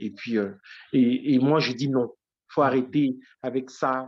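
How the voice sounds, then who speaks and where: The man's voice falls at a medium pitch. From Côte d'Ivoire (Issia). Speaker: writer and teacher. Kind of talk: interview testimony. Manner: halting, many repetitions and fillers.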